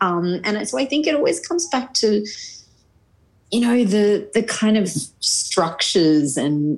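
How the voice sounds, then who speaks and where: A woman speaks with an Australian accent and very wide pitch swings. The background is quiet. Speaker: journalist and newsreader. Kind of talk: interview. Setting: video call.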